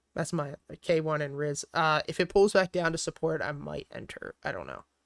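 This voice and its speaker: A man with a Philadelphia accent speaks at a moderate pace with big swings in loudness, recorded dry and close with no echo. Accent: Delco (Philadelphia). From Philadelphia area, Pennsylvania (Delaware County). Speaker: stock trader and livestreamer. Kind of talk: casual livestream chat answering viewers. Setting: livestream with lo-fi music playing. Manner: casual, filler-heavy.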